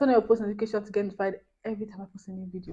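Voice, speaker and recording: The tone is dark and mellow. The voice is somewhat breathy. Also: woman. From Nigeria. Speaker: YouTuber. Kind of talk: casual chat. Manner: fast.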